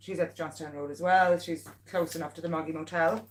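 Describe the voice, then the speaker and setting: A woman's voice, fairly low in pitch, has an animated tone. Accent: Meath Irish. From Ireland, Navan. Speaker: local pet business owner and vlogger. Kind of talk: casual livestream chat. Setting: live stream at home.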